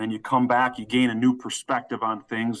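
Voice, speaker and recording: An unremarkable speaking voice moves at a moderate pace against a quiet background. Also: man. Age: 30s. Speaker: college football head coach. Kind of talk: interview.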